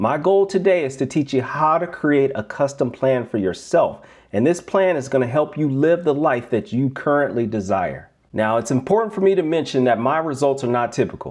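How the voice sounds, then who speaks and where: A man talks with lively intonation at a moderate pace. His pitch is fairly high for a man, and the background is quiet. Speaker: life coach. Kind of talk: webinar presentation. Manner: energetic.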